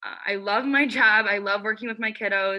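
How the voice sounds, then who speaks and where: A woman talks at a fairly quick pace in a plain, everyday voice. Her pitch is fairly high, with ordinary variation. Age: 20s. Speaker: student. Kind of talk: class presentation. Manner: casual, with fillers.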